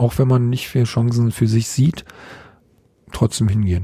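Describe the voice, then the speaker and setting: A man with a medium pitch and ordinary pitch variation talks at a moderate pace in a somewhat breathy voice with a dark, mellow tone. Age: 50s. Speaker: kendo trainer. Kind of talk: casual interview. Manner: halting, many fillers.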